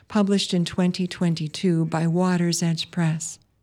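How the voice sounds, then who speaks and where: A woman's fairly low, dark, mellow voice with an American accent at a fairly slow pace, in a very clean recording with a silent background. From US Midwest, Wisconsin. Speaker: poet and farmer, radio host. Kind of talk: poetry reading, spoken word; reading aloud, scripted intro and outro.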